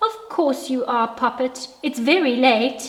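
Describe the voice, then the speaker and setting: Using a put-on character voice, a woman speaks fairly slowly at a high pitch. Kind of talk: bedtime story. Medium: read story. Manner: warm, gentle.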